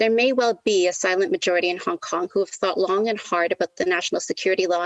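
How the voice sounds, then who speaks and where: A woman with a Canadian accent speaks very fast at medium pitch, with ordinary pitch variation. The sound is dry and close, with no echo. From Canada, Toronto. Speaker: lecturer in international relations speaking as party member. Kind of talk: conference debate speech. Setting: online party conference.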